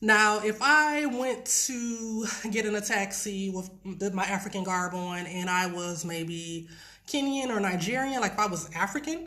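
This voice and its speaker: Speaking with an American accent, a woman uses lively intonation at a medium pitch and fairly slow pace. Audible room echo fills the recording. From US Midwest, Detroit, Michigan. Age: 30s. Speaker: ESL teacher. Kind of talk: live stream casual talk.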